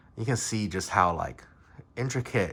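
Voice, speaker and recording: In a very clean recording with a silent background, a man speaks with a bright, sharp tone and lively intonation. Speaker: dice designer. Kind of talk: casual product review to camera. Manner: rambling, many filler words.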